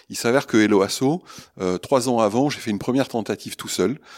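This man has an ordinary speaking voice with ordinary pitch variation. He talks at a fairly quick pace on a very clean recording with a silent background. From southwest France, Pau. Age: 60s. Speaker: social entrepreneur. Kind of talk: interview.

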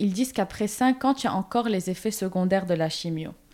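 Woman's dark, mellow tone at a fairly high pitch, with ordinary pitch variation. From Lebanon. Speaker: comics artist. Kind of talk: interview.

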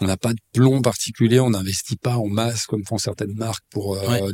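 A man's dark, mellow, fairly low voice, fairly quick and fairly even in intonation, dry and close with no echo. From Switzerland, Lausanne (Vaud). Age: 30s. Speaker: real estate agency CEO. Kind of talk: interview.

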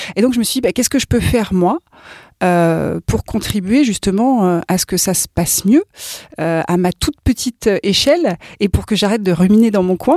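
A woman's medium-pitched voice at a moderate pace, lively intonation, a dark, mellow tone, dry, close sound with no echo, and a very clean recording over a silent background. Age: 40s. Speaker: workplace well-being coach. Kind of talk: interview.

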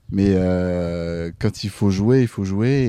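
Against a quiet background, a man speaks in a very deep, low voice with a dark, mellow tone and ordinary pitch variation. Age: 20s. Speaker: volleyball player. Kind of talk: casual interview. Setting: outdoors.

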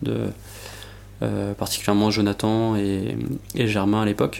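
This man speaks fairly slowly with a fairly low pitch. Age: 20s. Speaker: energy engineer. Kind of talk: interview. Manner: halting.

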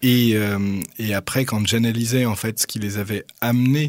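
Speaking fairly slowly in a normal speaking voice, a man keeps a fairly low pitch and fairly even intonation in a very clean recording with a silent background. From Paris, France. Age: 30s. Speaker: doctoral researcher and author. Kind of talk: radio interview.

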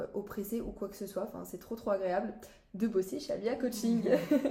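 A woman talks at a fairly quick pace with a medium pitch and ordinary pitch variation. Hers is a plain, everyday voice. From France, Brittany (Saint-Malo). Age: young. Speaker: student apprentice. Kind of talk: casual chat.

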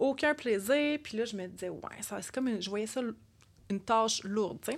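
Lively, fairly high female voice with a Quebec accent at a moderate pace, in a very clean recording with a silent background. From Quebec, Repentigny. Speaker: podcast co-host, wellness community founder. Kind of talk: casual chat.

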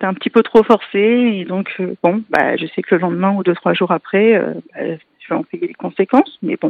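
This woman speaks at a moderate pace, her medium-pitched voice showing ordinary pitch variation. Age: 30s. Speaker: patient with a genetic disease. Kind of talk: testimony. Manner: halting.

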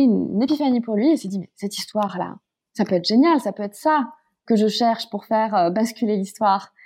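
In an ordinary speaking voice, a woman talks at a fairly quick pace with ordinary pitch variation. The background is quiet. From Paris, France. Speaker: climate campaign founder. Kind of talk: interview conversation.

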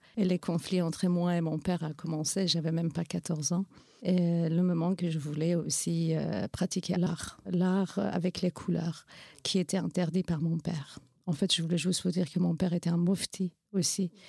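A woman's fairly low, dark, mellow, somewhat breathy voice with a Kurdish accent, at a moderate pace with fairly even intonation and very even loudness, in a very clean, dry, close recording with no echo and a silent background. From Iranian Kurdistan. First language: Kurdish (speaking French). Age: 40s. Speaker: NGO founder and women's rights activist. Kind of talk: interview testimony. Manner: hesitant, frequent fillers.

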